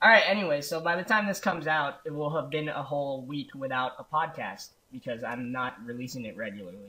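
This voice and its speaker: At a fairly quick pace with hardly any pauses, a man in an unremarkable speaking voice uses lively intonation at a fairly high pitch. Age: 20s. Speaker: podcast co-host and editor. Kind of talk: casual chat.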